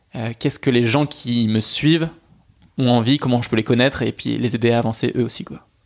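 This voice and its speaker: In a normal speaking voice, a man talks at a fairly quick pace. His pitch is medium and his intonation fairly even. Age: 20s. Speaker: podcast host. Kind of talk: interview.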